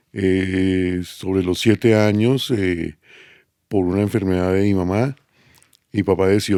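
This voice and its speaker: On a very clean recording with a silent background, a man with a very deep, low pitch and a dark, mellow tone speaks fairly slowly with fairly even intonation. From Colombia, Bogotá. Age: 60s. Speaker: podcast guest, host's father. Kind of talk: casual interview, life story. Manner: halting, many fillers.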